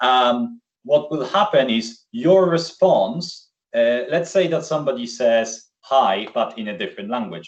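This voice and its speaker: A man with a Polish accent, very wide pitch swings and a fairly slow pace, over a quiet background. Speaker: software solution architect; presenter. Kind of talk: webinar presentation. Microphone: video call.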